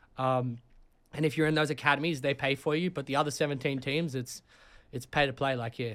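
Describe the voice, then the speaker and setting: On a very clean recording with a silent background, a man with an Australian accent speaks at a fairly quick pace, his fairly high pitch held in fairly even intonation. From Sydney, Australia. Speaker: college soccer player. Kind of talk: casual chat.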